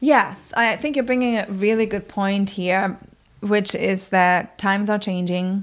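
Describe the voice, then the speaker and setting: Speaking at a fairly slow pace with a German accent, this voice keeps a fairly even intonation. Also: woman, medium pitch for a woman. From northern Germany, countryside near Bremen. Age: 40s. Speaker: communication coach. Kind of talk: interview. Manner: hesitant, with many fillers.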